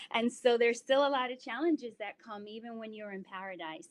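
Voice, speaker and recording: With an American accent and an unremarkable speaking voice, a woman talks at a fairly quick pace and a fairly high pitch, recorded with a dry, close sound and no echo. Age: 30s. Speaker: yoga instructor and wellness presenter. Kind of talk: online presentation. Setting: live online presentation with chat.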